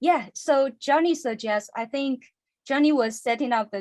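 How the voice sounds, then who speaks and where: A woman with a non-native accent, fairly slow in pace, against a quiet background. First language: not English. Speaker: stop motion animator and podcast cohost. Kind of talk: casual interview chat. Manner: halting.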